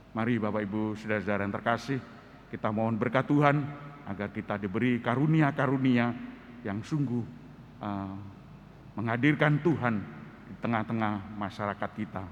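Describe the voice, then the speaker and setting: Talking at a fairly quick pace yet with long, frequent pauses, a man uses a medium pitch and ordinary pitch variation. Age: 60s. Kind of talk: sermon.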